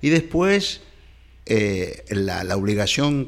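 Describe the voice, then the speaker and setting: A man's voice with very wide pitch swings. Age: 70s. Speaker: historian and professor. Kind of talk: interview conversation. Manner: halting with many fillers and repetitions.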